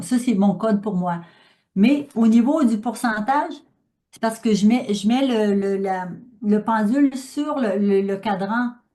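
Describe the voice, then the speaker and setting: In a Quebec accent, a woman talks at a very slow pace with ordinary pitch variation and a somewhat breathy, dark, mellow tone. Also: fairly high pitch for a woman. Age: 60s. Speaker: speaker on pranic living. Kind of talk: talk with audience questions. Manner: halting, many fillers.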